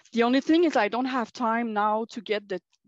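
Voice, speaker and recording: A woman with a Quebec accent speaks at a fairly high pitch with ordinary pitch variation, in a dry, close sound with no echo against a quiet background. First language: French. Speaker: college teacher, workshop participant. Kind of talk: workshop group discussion. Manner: halting, many hesitations and self-corrections.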